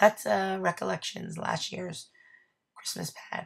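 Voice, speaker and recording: A woman speaks very slowly with vocal fry, her very deep, low pitch making very wide swings. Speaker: scrapbooking crafter. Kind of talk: craft process narration. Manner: casual, with many um fillers.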